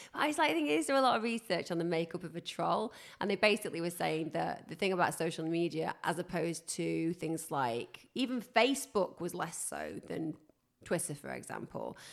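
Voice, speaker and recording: Speaking at a fairly quick pace, a woman uses lively intonation and vocal fry in a very clean recording with a silent background. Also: fairly low pitch for a woman. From northern England. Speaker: podcast host. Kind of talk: casual chat.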